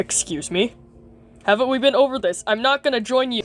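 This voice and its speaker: A female-sounding cartoonish character voice speaks at a high pitch. The pace is fairly quick. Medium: puppet show. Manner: blunt, sarcastic, curt.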